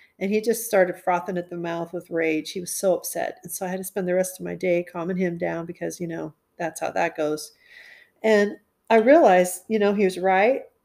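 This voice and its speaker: At a fairly quick pace, a woman at medium pitch speaks with big swings in loudness, in a very clean recording with a silent background. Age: 50s. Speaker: caterer. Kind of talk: casual chat. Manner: animated.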